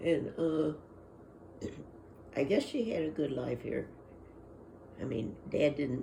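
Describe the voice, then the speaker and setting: The pace is fairly slow, broken by long, frequent pauses. Vocal fry runs through the voice. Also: woman. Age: 80s+. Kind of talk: oral history interview answer. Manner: hesitant, rambling.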